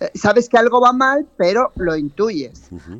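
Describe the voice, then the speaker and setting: A woman's voice with lively intonation. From South America. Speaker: artist. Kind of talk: radio interview.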